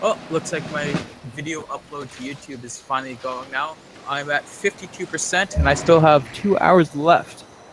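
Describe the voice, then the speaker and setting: Noticeable background noise sits under a man's voice. He speaks at a fairly high pitch and a moderate pace, with ordinary pitch variation. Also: big swings in loudness. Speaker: gaming streamer. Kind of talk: casual let's-play chat.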